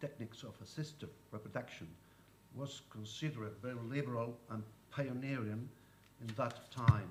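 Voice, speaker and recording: Recorded with audible room echo and noticeable background noise, a man of medium pitch speaks at a moderate pace with ordinary pitch variation. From Spain. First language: Spanish. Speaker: lawyer. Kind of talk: conference talk. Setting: conference panel.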